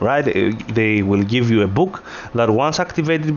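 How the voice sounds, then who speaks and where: The speaker has a non-native accent and a moderate pace. Pitch varies in an ordinary way. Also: man. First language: not English. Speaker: gaming video creator. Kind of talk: tutorial. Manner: hesitant, many filler words.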